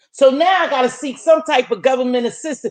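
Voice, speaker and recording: A woman's high-pitched, animated voice at a fairly quick pace. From US. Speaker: YouTube livestream host. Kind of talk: casual chat. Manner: preacher-like.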